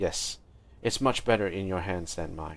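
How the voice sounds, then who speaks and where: A man uses a put-on character voice, raspy and very deep and low in pitch. His pitch variation is ordinary. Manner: defeated.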